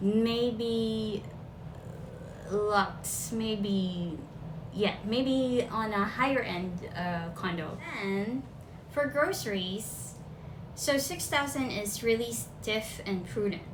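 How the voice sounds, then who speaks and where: A woman with a Filipino accent talks at a very slow pace in a medium pitch with lively intonation and long, frequent pauses. Noticeable background noise and audible room echo fill the recording. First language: Filipino language. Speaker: vlogger. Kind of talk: casual talk to camera. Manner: casual, chatty.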